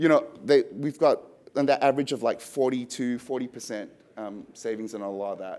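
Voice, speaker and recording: An Australian accent is heard. The voice is a man's. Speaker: software product presenter. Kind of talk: business presentation.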